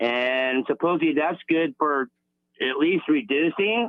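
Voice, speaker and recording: Here is a man with a plain, everyday voice. His intonation is lively and his pace moderate. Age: 60s. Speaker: caller. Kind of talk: call-in question. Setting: phone call. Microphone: poor phone line.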